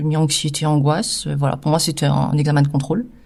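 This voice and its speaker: The very clean recording of a woman has a silent background. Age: 50s. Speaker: cancer survivor and patient partner. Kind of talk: testimony. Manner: hesitant, many filler sounds.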